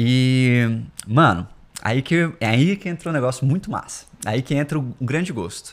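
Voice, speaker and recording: Here is a man with an unremarkable speaking voice at medium pitch. His intonation is lively. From Brasília, Brazil. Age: 20s. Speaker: startup founder. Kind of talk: casual interview chat.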